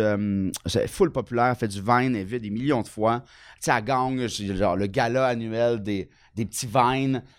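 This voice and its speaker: Speaking with a Quebec accent, a man keeps a moderate pace and a medium pitch. His pitch varies in an ordinary way on a very clean recording with a silent background. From Quebec, Bas-Saint-Laurent. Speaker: comedian. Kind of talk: casual chat.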